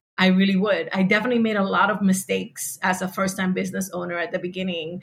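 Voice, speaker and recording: Somewhat breathy speech comes very fast with fairly even intonation. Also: woman. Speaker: podcasting entrepreneur. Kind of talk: panel discussion.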